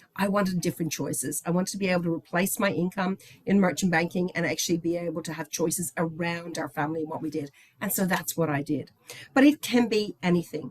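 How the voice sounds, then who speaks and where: A woman speaks at a very fast pace in an enthusiastic tone, her pitch fairly low with ordinary variation. Noticeable background noise is present. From Ireland, Dublin. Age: 60s. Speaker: company executive. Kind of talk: presentation.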